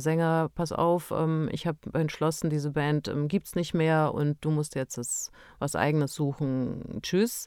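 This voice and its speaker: The very clean recording with a silent background carries a woman's dark, mellow tone at a fairly low pitch. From Transylvania, Romania; moved to Bavaria at eleven. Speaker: funeral director, former actress and musician. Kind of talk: casual chat.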